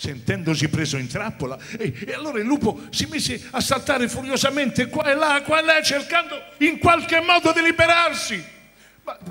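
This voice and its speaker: A man speaks at a moderate pace. His pitch is extremely high, with ordinary variation. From Rome, Italy. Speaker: actor. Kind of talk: live narration of a musical fairy tale for children. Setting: theatre stage with orchestra. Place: stage. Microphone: handheld.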